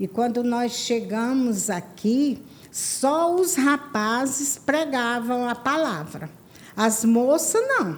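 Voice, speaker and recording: The woman's voice is high, with lively intonation. She speaks at a very slow pace. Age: 70s. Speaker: church women's ministry leader. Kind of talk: testimony.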